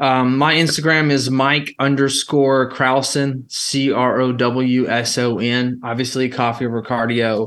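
A man speaks in an Alabama accent at a medium pitch and a fairly slow pace. The background is quiet. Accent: Alabama Southern. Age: 30s. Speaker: entrepreneur. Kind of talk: casual chat.

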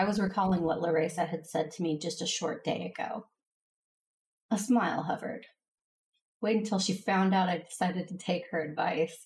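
At a moderate pace, a woman speaks in a somewhat breathy voice with fairly even intonation and long, frequent pauses. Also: medium pitch for a woman. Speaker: audio drama actor, Jedi Master character. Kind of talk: sci-fi audio drama narration, earnest and reflective, with emotional dialogue. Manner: earnest, gentle, measured.

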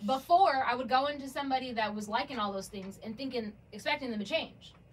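A woman speaks fairly quickly at a high pitch with lively intonation. Noticeable background noise is present. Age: 30s. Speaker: bartender and model. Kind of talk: casual chat.

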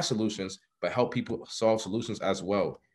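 Here is an unremarkable speaking voice from a man at a medium pitch. He talks at a fairly quick pace with fairly even intonation. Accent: American. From New York City (Harlem). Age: 20s. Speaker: entrepreneur, business affiliate. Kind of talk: casual interview chat.

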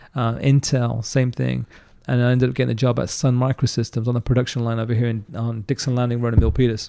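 A man with an American accent, medium-pitched, dark and mellow in tone, talking very fast in a flat monotone. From England, London area. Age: 40s. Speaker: entrepreneur. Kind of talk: casual interview storytelling.

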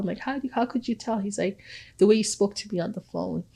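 A woman speaks at a medium pitch, somewhat breathy. Her pitch variation is ordinary. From Ghana. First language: Twi. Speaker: college professor and communication consultant. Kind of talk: interview conversation.

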